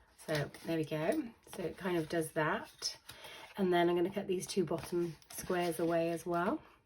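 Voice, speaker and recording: Against noticeable background noise, a woman speaks at a moderate pace and fairly low pitch, with fairly even intonation and long, frequent pauses. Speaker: papercraft demonstrator. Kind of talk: tutorial.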